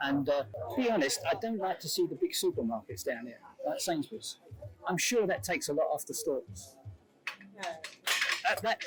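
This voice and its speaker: A man's voice at a moderate pace, with noticeable background noise. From Walthamstow, east London. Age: 70s. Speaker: longtime local resident. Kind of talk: interview.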